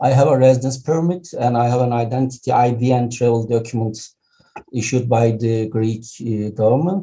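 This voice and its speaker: A man speaks with a Turkish accent at a fairly quick pace. His intonation stays fairly even. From Turkey. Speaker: professor and surgeon. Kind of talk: testimony.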